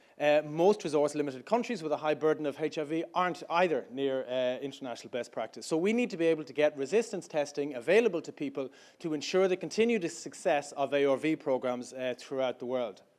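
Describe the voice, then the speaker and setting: Delivered at a very fast pace, the speech has lively intonation and an Irish accent. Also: man. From Ireland. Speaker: startup founder. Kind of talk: pitch talk. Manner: hesitant, many fillers.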